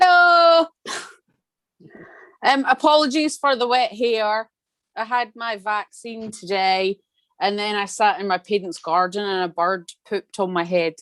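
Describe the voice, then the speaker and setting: A woman with a Scottish accent speaks at a fairly slow pace, leaving long, frequent pauses. Her fairly high voice swings very widely in pitch, and the sound is dry and close with no echo over a quiet background. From Scotland. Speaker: Pilates studio owner. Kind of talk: video call introduction.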